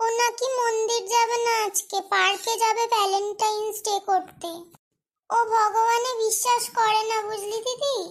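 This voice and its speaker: Using a cartoonish character voice at an extremely high pitch, a woman speaks at a moderate pace with monotone, flat intonation. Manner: sulky and reproachful.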